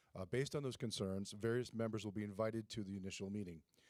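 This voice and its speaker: Fairly quick and fairly even in intonation, a man speaks at a medium pitch on a very clean recording with a silent background. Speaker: school administrator. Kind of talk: presentation at board meeting. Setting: school board meeting. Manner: fast.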